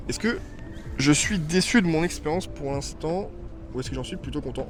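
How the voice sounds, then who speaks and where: With music in the background and audible room echo, a man talks at a fairly quick pace, his loudness swinging widely. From southern France. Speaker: vlogger. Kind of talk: casual Q&A vlog. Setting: outdoors in a park. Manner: hesitant, many fillers.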